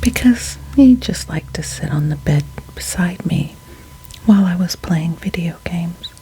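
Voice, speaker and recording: Soft-spoken and whispering, the voice moves at a moderate pace over noticeable background noise. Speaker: ASMR storyteller. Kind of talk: ASMR ghost story reading. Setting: studio, close-mic. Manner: whispered, soft-spoken.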